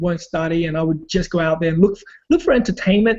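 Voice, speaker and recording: The man's voice sits at a high pitch. He talks with a non-native accent. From Australia (immigrant family). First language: not English. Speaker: online marketer and former break dancer. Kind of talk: personal story in a group video call. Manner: hesitant, many fillers.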